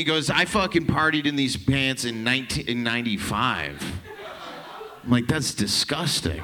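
A man's very slow speech comes through noticeable background noise. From Canada. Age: 30s. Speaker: comedian. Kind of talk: stand-up. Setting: stage with audience.

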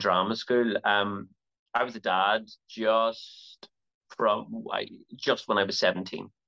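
A man's medium-pitched voice in a Belfast accent. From Northern Ireland, Belfast. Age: 40s. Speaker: actor. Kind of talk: interview.

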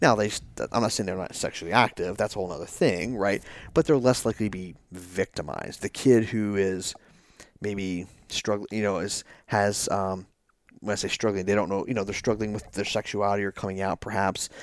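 A man with a plain, everyday voice at a fairly quick pace. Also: fairly low pitch for a man, fairly even intonation, very clean recording, silent background. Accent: American. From Northern Virginia, US. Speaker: federal special agent, former soldier. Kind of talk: interview conversation.

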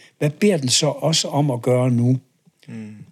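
On a very clean recording with a silent background, a man at medium pitch speaks at a fairly slow pace with ordinary pitch variation. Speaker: professor emeritus and author on leadership. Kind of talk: interview conversation. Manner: hesitant, many filler words.

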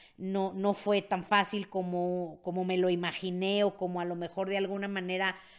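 This woman's tone is animated. The recording is very clean, with a silent background. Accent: Mexican. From Mexico. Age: 50s. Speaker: podcast host, network marketing mentor. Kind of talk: casual monologue, personal story.

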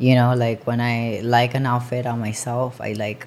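The woman speaking has a very deep, low pitch. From Colombia. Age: 20s. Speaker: clothing line owner. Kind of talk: casual interview.

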